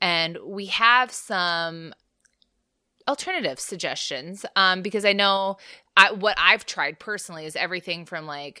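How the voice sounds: Speaking at a fairly slow pace, a woman has a fairly low pitch, lively intonation, and a tone that is both bright and sharp as well as clear and smooth.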